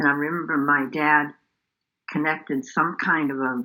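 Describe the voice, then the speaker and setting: Here a woman speaks at a fairly slow pace. Her pitch is very deep and low, and her tone is bright and sharp. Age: 80s+. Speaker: nun and university team chaplain. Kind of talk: interview answer. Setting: video call.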